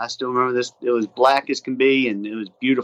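Using an ordinary speaking voice, a man talks at a fairly quick pace in a dry, close sound with no echo. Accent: American. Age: 40s. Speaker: whitewater paddler and instructor. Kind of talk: casual interview.

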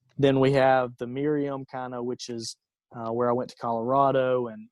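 A man speaks in an Alabama accent at a medium pitch. His delivery is a flat monotone at a moderate pace. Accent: Southern US (Alabama). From US South, rural Alabama. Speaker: entrepreneur. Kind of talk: interview.

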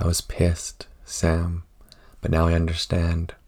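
Very deep and low, this man's voice carries a dark, mellow tone. He is somewhat breathy and talks at a fairly slow pace. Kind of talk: poetry reading. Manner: somber, slow, reflective.

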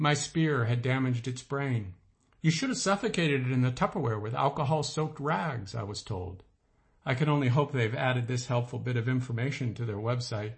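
With an animated tone and a somewhat breathy medium pitch, a man talks at a fairly quick pace with ordinary pitch variation. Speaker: author reading own essay. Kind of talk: literary audiobook reading of a comic personal essay, wry and storytelling. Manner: animated, dry-humored, mock-heroic delivery; measured, expressive narration with comic timing.

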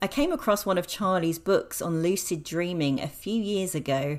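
A woman with a plain, everyday voice speaks fairly slowly at a fairly low pitch, with ordinary pitch variation. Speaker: podcast host. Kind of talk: interview conversation. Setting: guest's apartment.

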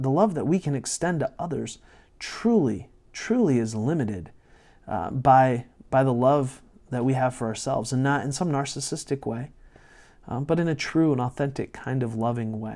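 A man at medium pitch with a dark, mellow tone and a moderate pace, on a very clean recording with a silent background. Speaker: pastor and podcast host. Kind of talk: solo podcast monologue on leadership. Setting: live-streamed recording session. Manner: loud; hesitant, many fillers and repetitions.

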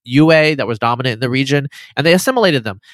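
An ordinary speaking voice with an American accent and ordinary pitch variation comes through a dry, close sound with no echo. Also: man. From US, eastern Oregon. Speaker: geneticist and writer. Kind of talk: casual interview conversation.

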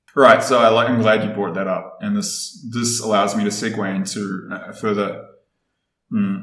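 A man with a New Zealand accent at a moderate pace, with audible room echo. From New Zealand, Wellington. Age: 30s. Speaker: podcast guest. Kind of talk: casual interview chat.

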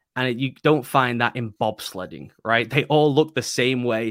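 Fairly quick, fairly evenly intoned speech with an English accent. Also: man. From England. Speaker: football writer and analyst. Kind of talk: casual interview. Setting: video call.

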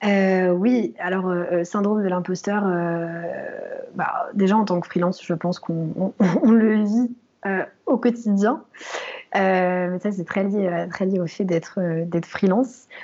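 A woman at medium pitch, very slow pace and fairly even intonation, amid noticeable background noise. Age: 20s. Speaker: freelance UX researcher. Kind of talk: interview. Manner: halting, many repetitions and fillers.

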